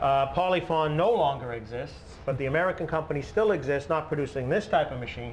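Medium in pitch with ordinary variation, a man talks at a fairly quick pace.

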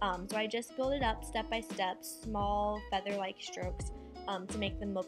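Clear music sounds in the background as a woman talks at a moderate pace. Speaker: beauty vlogger. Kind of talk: tutorial. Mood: relaxed, friendly. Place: home room. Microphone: camera far.

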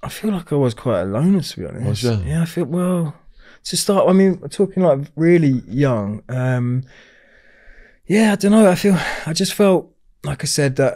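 Against a quiet background, a man speaks at a moderate pace with lively intonation and a dark, mellow tone. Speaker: podcast guest. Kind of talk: interview answer. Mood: reflective, candid. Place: studio. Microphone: studio mic.

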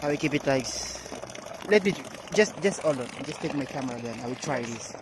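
Amid clear background noise, a man at medium pitch talks at a fairly quick pace with lively intonation.

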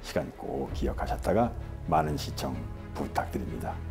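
Clear music plays in the background as a man with a very deep, low pitch speaks with lively intonation. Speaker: actor, documentary narrator. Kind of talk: promotional message to viewers. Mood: warm, smiling. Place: home room. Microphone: lapel.

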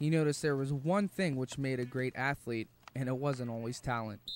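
A man's normal speaking voice, medium in pitch, with ordinary pitch variation and a moderate pace. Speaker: documentary narrator. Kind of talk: documentary narration.

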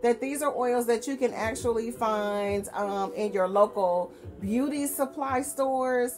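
The pitch of this woman's voice varies in an ordinary way. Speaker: beauty vlogger. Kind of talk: casual vlog chat. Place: home room. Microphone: webcam.

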